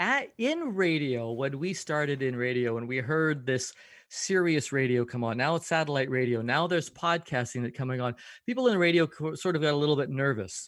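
Speaking in a plain, everyday voice with a Canadian accent, a man with a fairly high pitch talks at a moderate pace with lively intonation on a very clean recording with a silent background. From Canada, Vancouver. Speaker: podcast coach and radio host. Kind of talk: interview conversation.

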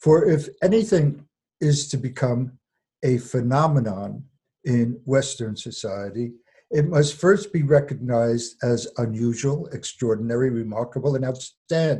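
A man at a fairly slow pace, medium pitch, somewhat breathy, with ordinary pitch variation. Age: 80s. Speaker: retired literature professor, fairy tale scholar. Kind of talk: interview. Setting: phone or video call.

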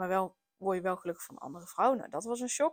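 This woman speaks at a medium pitch. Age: 30s. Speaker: podcast host, parenting coach. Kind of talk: personal monologue. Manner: hesitant, many filler words.

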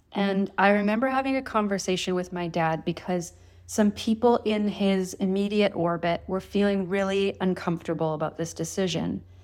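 In an ordinary speaking voice with a Canadian accent, a woman speaks at a moderate pace and medium pitch with fairly even intonation and hardly any pauses, on a very clean recording with a silent background. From Thunder Bay, northern Ontario, Canada. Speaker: author and osteopath. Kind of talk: interview.

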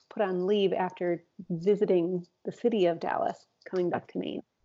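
A woman's dark, mellow tone at a moderate pace against a quiet background. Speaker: psychologist podcast host. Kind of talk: casual conversation between co-hosts. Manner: chatty, with frequent backchannel interjections.

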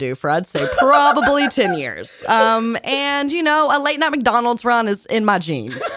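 Against noticeable background noise, a woman with an American accent speaks at a high pitch with very wide pitch swings. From Virginia, US South. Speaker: podcast co-host, musician. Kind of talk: casual chat.

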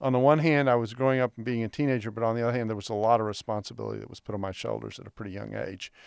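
A man with a Texan accent talks at a medium pitch with ordinary pitch variation. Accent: Texan American. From Texas. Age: 60s. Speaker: biblical scholar. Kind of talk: interview conversation. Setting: studio.

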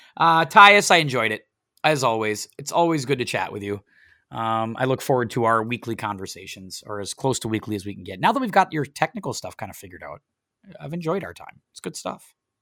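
A man with an American accent, bright and sharp in tone at a medium pitch, fairly quick, with very wide pitch swings and big swings in loudness, on a very clean, dry, close recording with no echo and a silent background. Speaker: podcast host. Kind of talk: casual chat. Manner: chatty, jokey.

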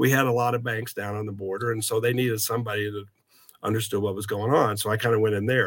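In a Midwestern American accent, a man with a fairly low pitch talks very fast in a monotone, flat intonation. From US Midwest, southeast Kansas. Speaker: banking credit executive. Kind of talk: interview.

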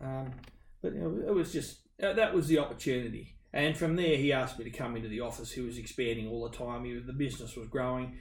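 Talking at a fairly quick pace in an Australian accent, a man with a somewhat breathy voice and medium pitch shows ordinary pitch variation and big swings in loudness, with audible room echo. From Western Sydney, Australia. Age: 50s. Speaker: business owner. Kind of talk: interview conversation.

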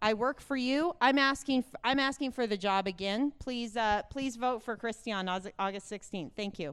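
On a very clean recording with a silent background, a woman speaks at a high pitch and a moderate pace with lively intonation. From Wyoming, Fremont County. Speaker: state auditor, accountant. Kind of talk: campaign stump speech. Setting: stage at party convention.

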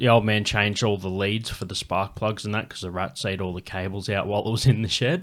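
At a very fast pace, a man with an Australian accent speaks with a fairly low pitch and fairly even intonation in a very clean recording with a silent background. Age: 30s. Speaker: comedian, podcast host. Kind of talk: casual chat.

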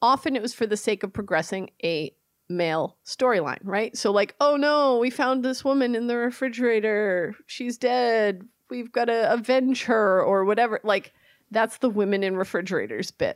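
An unremarkable speaking voice moves at a moderate pace with ordinary pitch variation, in a dry, close sound with no echo. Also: woman, fairly high pitch for a woman. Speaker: podcast co-host. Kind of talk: casual chat. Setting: remote recording.

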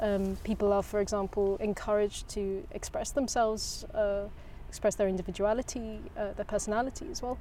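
A medium-pitched woman's voice in an English accent, dark and mellow in tone, at a fairly quick pace with ordinary pitch variation. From England. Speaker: restaurant tea and coffee specialist. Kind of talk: casual interview chat.

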